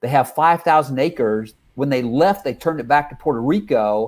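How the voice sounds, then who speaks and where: An ordinary speaking voice with ordinary pitch variation, in a very clean recording with a silent background. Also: man. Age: 60s. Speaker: life coach trainer and consultant. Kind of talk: casual chat.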